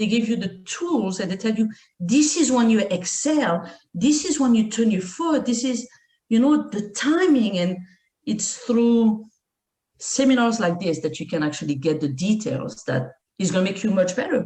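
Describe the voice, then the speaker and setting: A woman with a fairly high pitch and a dark, mellow, somewhat breathy tone speaks at a moderate pace with very wide pitch swings. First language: not English. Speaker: martial arts instructor. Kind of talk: podcast interview.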